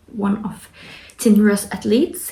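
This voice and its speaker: Over noticeable background noise, a woman with a non-native accent talks fairly slowly at a medium pitch. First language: not English. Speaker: fitness athlete vlogger. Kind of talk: casual vlog. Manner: halting.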